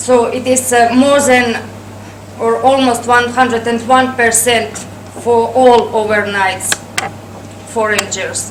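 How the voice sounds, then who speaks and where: In a Russian accent, a woman speaks at a high pitch with monotone, flat intonation, a very slow pace and long, frequent pauses, amid noticeable background noise and audible room echo. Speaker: travel agency director. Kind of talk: presentation. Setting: workshop audience. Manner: hesitant, many fillers.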